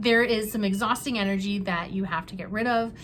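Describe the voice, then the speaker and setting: A woman's somewhat breathy, medium-pitched voice with fairly even intonation and audible room echo. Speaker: tarot reader. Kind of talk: tarot reading to camera. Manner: halting, many fillers.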